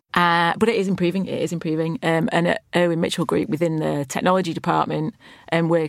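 Speaking at a very fast pace with a Lancashire accent, a woman uses a fairly low pitch and vocal fry on a very clean recording with a silent background. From Lancashire, northern England. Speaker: chief technology officer. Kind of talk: interview.

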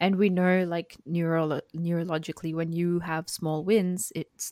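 A woman's fairly low voice at a moderate pace, dry and close with no echo, on a very clean recording with a silent background. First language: not English. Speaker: podcast co-host, woman in STEM. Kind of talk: casual podcast discussion.

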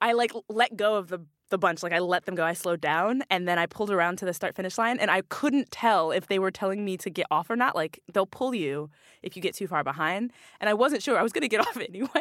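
A woman speaks very fast in an American accent, at a medium pitch with ordinary pitch variation. The sound is dry and close with no echo, and the recording is very clean with a silent background. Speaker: elite cyclist and advocate. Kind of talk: casual interview chat. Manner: passionate, respectful.

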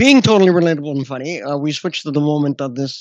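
A man speaks in a normal speaking voice with ordinary pitch variation. His pitch sits fairly high. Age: 40s. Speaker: podcast host and comedian. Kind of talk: casual interview.

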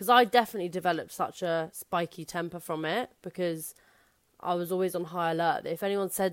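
On a very clean recording with a silent background, a woman with a London accent speaks at a moderate pace, her fairly low pitch held in fairly even intonation. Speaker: stand-up comedian. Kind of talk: casual chat. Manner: loud.

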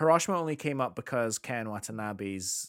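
Speaking with a Scottish accent, a man keeps a moderate pace. His intonation is lively. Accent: Scottish (Edinburgh area). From Scotland, near Edinburgh. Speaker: podcast co-host and music teacher. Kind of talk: casual chat. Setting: recording late evening after work.

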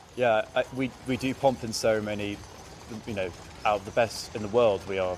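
Against noticeable background noise, a man speaks in a fairly low pitch with monotone, flat intonation. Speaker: army officer. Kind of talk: interview.

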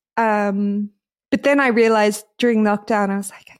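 A woman speaks at a moderate pace with an Australian accent. The sound is dry and close, with no echo. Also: very clean recording, silent background. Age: 30s. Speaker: DJ and podcast co-host. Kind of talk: casual chat.

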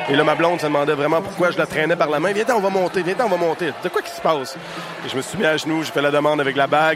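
Very fast talk from a man, fairly high in pitch, amid noticeable background noise. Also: fairly even intonation. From Quebec, Témiscamingue. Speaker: stage manager. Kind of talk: storytelling.

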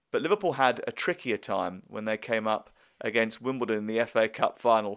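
Man with a British accent, medium pitch, ordinary pitch variation, fairly quick pace, dry and close sound with no echo, very clean recording with a silent background. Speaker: radio sports presenter. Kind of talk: interview questioning. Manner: warm, enthusiastic.

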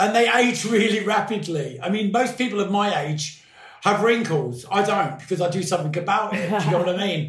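Amid noticeable background noise and audible room echo, a man speaks. He keeps a moderate pace with ordinary pitch variation. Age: 50s. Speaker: podcast guest. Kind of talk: casual chat.

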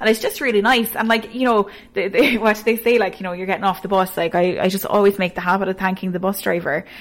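Talking very fast with hardly any pauses, a woman with a Cork accent keeps her intonation fairly even. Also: medium pitch for a woman. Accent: Cork Irish. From Ireland, Cork (Ballygarvan). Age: 20s. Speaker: radio newsreader. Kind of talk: casual interview.

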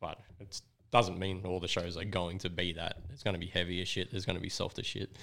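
In an Australian accent, a voice with a bright, sharp tone rushes at a very fast pace with monotone, flat intonation. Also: man, very deep, low pitch for a man. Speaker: record label owner and gig promoter. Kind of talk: casual chat.

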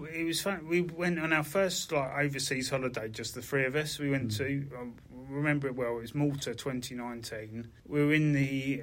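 A man speaks at a fairly quick pace with a medium pitch. His pitch varies in an ordinary way, and the room echo is audible. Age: 50s. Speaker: bank worker with Parkinson's. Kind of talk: casual chat.

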